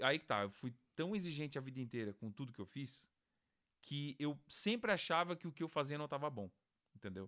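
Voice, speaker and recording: Bright and sharp in tone, a man speaks at a fairly high pitch and a moderate pace with lively intonation. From Brazil, Santa Catarina (Criciúma). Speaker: music producer. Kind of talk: casual interview chat.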